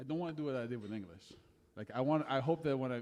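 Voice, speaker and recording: A man with a French accent talks very fast, his dark, mellow tone showing ordinary pitch variation. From France. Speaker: singer-songwriter. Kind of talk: casual chat between songs on stage. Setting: live music venue with audience.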